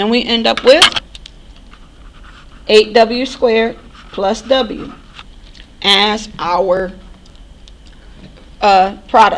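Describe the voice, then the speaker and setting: A woman's fairly high voice with ordinary pitch variation, very slow and broken by long, frequent pauses, with audible room echo and noticeable background noise. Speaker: math instructor. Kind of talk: recorded lecture.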